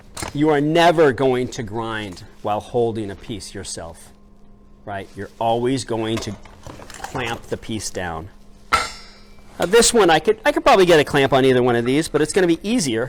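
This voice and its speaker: Amid noticeable background noise, a man speaks at a moderate pace in a medium pitch, with very wide pitch swings and big swings in loudness. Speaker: metal shop teacher. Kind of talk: tutorial. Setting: outdoors.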